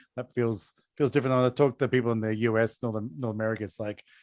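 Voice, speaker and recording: Speaking at a very fast pace, a man has a medium pitch and an Australian accent. The sound is dry and close, with no echo. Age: 40s. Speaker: podcast host. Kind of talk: casual chat.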